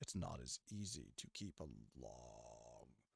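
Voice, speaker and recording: Very slowly, a man with a very deep, low pitch and vocal fry speaks with lively intonation. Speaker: musician streaming a song mix. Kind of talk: casual livestream tutorial on mixing. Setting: livestream. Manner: rambling, conversational with fillers.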